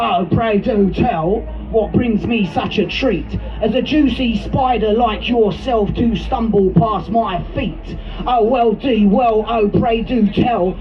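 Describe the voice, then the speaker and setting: Over loud background noise, a man puts on a squeaky character voice with a high pitch. He speaks at a fairly slow pace. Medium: stage play.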